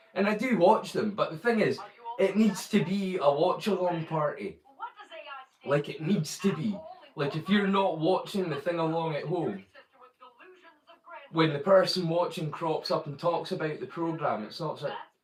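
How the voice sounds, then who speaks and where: A man with a Scottish accent and a high pitch, animated in tone, at a moderate pace with ordinary pitch variation and long, frequent pauses. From Scotland. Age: 40s. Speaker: live streamer. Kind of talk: casual chat. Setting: live stream.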